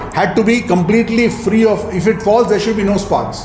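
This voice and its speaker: Against noticeable background noise and audible room echo, a man with a high pitch speaks at a moderate pace. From India. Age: 60s. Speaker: entrepreneur and mentor. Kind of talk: talk to audience. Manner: halting.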